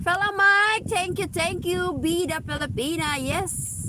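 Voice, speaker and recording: Over noticeable background noise, a woman speaks loudly at a moderate pace in an angry tone. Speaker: live streamer. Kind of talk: livestream chat reading comments. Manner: loud, sounds angry.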